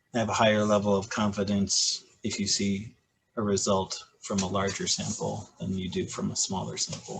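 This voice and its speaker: In a Michigan accent, a man speaks at a moderate pace. His pitch is fairly low. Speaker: high school physics teacher. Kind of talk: casual chat.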